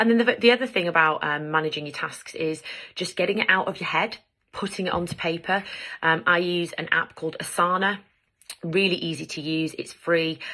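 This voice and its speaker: A woman's fairly low voice in an English accent, bright and sharp in tone, at a fairly quick pace. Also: ordinary pitch variation. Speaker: lawyer and mental health vlogger. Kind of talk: advice vlog. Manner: fast.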